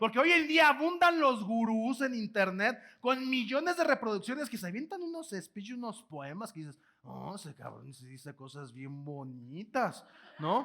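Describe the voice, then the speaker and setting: Speaking at a fairly slow pace, a man uses an extremely high pitch and a raised, projected voice with an animated, bright, sharp tone. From Mexico, Guanajuato. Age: 20s. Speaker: motivational speaker. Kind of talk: keynote lecture to live audience. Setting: auditorium with audience. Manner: animated, repetitive false starts.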